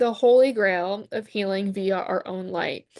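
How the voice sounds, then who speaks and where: A woman talks with a slight Southern US accent. The sound is dry and close, with no echo. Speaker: wellness coach and product seller. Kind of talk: sales pitch. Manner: animated.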